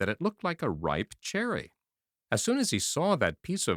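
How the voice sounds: The clip has a natural reading voice against a quiet background.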